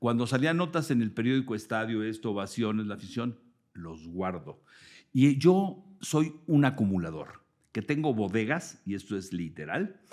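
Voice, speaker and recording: In a very clean recording with a silent background, a man speaks at a fairly slow pace with very wide pitch swings. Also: medium pitch for a man. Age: 60s. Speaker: sports journalist. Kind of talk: interview. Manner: animated.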